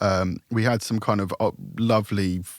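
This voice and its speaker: A man's voice with fairly even intonation, on a very clean recording with a silent background. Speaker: recording and mix engineer. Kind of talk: casual chat. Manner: halting.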